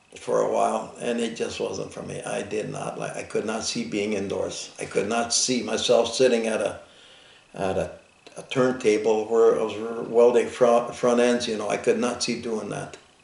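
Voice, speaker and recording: An American accent at a moderate pace, with audible room echo and noticeable background noise. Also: man. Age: 70s. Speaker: Vietnam war veteran and farmer. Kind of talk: oral history interview. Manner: halting, repetitive starts.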